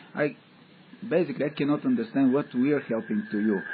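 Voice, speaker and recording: Very wide pitch swings mark a man's speech with a non-native accent. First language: not English. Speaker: audience member asking questions. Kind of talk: question and answer session. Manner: halting.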